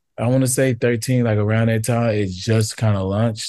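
Over a quiet background, the tone comes across dark and mellow. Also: man. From East Texas (Tyler). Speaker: photographer. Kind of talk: casual interview chat.

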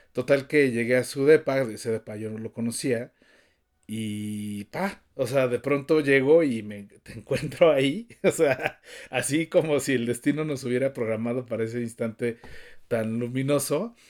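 In a Mexico City accent, a man speaks at a fairly slow pace with ordinary pitch variation on a very clean recording with a silent background. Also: medium pitch for a man, big swings in loudness. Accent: Mexico City Spanish (chilango). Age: 50s. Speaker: podcast co-host, cook. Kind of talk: casual chat.

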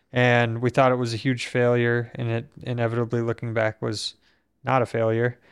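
This speaker uses a monotone, flat intonation at a moderate pace in an American accent. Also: man, medium pitch for a man. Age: 30s. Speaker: podcast host, quadriplegic injury survivor. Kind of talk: casual conversation. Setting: home podcast studio.

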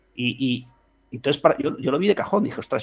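A man's fairly high voice with lively intonation. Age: 40s. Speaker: fintech co-founder. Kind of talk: interview. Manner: animated.

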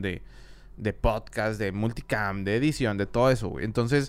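A man speaks at a fairly slow pace. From Mexico, Monterrey. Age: 30s. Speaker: audio engineer and videographer. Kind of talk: casual chat. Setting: studio.

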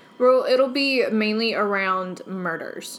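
At a fairly slow pace, a woman speaks in an unremarkable speaking voice of medium pitch. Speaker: podcast co-host. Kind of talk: casual chat.

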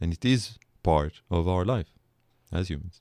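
A man's voice with ordinary pitch variation, recorded dry and close with no echo. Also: very clean recording, silent background. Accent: Israeli. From Israel. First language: Hebrew. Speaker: political philosophy professor. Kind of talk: podcast interview. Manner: reflective.

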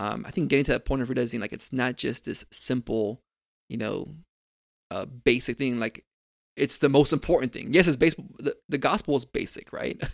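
A man with an ordinary speaking voice talks at a fairly quick pace and medium pitch, with ordinary pitch variation. The sound is dry and close, with no echo. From Miami, Florida. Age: 30s. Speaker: campus ministry director. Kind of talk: casual chat.

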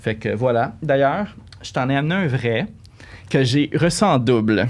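Speaking at a fairly slow pace with a Quebec accent, the voice carries lively intonation. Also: man. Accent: Québécois French. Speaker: collector. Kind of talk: casual chat. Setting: studio.

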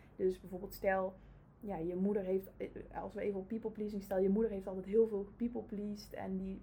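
A woman's somewhat breathy, dark, mellow voice at a medium pitch, in monotone, flat intonation. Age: 30s. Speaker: family constellation practitioner. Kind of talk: casual interview. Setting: in the host's office.

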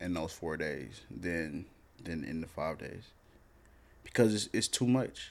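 A man talks at a fairly slow pace in a very deep, low pitch with vocal fry. His intonation is lively, broken by long, frequent pauses. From US South. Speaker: podcast host. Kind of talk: casual chat.

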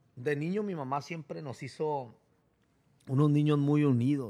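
An unremarkable speaking voice from a man at medium pitch, with ordinary pitch variation, in a very clean recording with a silent background. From Mexico, Tijuana. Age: 30s. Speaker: barber and preacher. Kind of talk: testimony. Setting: barbershop.

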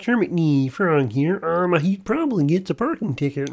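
A man uses a put-on character voice, croaky and high-pitched, at a moderate pace. The background is quiet. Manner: playful, comedic.

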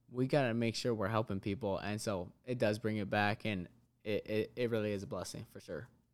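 This is a man with an unremarkable speaking voice and a fairly low pitch. He talks at a fairly quick pace with fairly even intonation. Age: 20s. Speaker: fitness business owner. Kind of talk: casual interview.

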